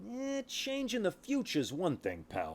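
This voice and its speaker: Using a put-on character voice, a man sounds gruff as he talks at a moderate pace. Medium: solo performance. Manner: gruff, streetwise, cynical.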